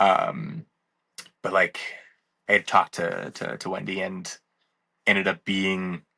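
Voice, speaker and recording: Delivered at a fairly slow pace with an American accent, the voice has a bright, sharp tone in a dry, close sound with no echo. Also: man. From Wisconsin. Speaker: speed skater. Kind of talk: casual chat. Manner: calm; halting.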